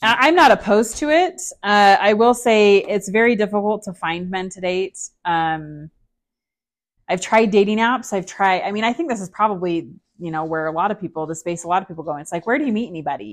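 A normal speaking voice from a woman with an American accent, medium pitch, fairly quick pace and big swings in loudness. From Utah, US. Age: 40s. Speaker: divorced mother sharing her story. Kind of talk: interview.

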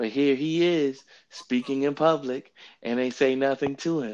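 Over a quiet background, a man with a fairly high pitch talks in an ordinary speaking voice. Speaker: podcast host leading bible study. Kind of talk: bible study discussion. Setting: remote phone recording via app.

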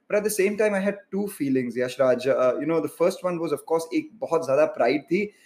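A man with a high pitch talks at a fairly quick pace with lively intonation. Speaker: interviewer. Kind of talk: interview. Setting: livestream video call.

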